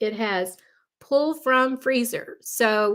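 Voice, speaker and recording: On a very clean recording with a silent background, a woman with a Texan accent speaks with ordinary pitch variation. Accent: Texan American. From Texas. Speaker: lifestyle planning vlogger. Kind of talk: live stream tutorial. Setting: live stream video. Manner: casual, chatty.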